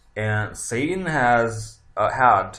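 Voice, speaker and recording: A man is speaking. Audible room echo is present on the recording. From Italy. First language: Italian. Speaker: tarot reader. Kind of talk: casual monologue. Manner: halting, many fillers.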